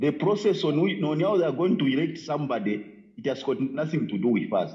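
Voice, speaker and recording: A man's dark, mellow voice at a fairly high pitch, with vocal fry, lively intonation, very even loudness and a moderate pace, over a quiet background. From Zambia. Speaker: caller. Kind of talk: phone-in call. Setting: phone call. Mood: serious, critical. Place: home room. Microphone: phone near.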